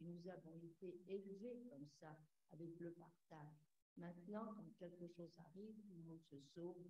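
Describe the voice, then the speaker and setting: Somewhat breathy and dark, mellow in tone, a woman's fairly low voice moves at a moderate pace with fairly even intonation amid audible room echo. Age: 90s. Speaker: audience member, war-era witness. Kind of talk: testimony. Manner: halting.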